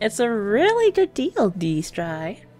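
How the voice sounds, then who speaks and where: A woman's put-on character voice, fairly high and sing-song, dry and close with no echo. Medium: audio drama. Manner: playful, sing-song.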